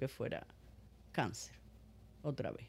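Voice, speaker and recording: The recording is very clean, with nothing heard behind the woman's voice but silence. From Cuba. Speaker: breast cancer survivor. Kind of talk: testimony.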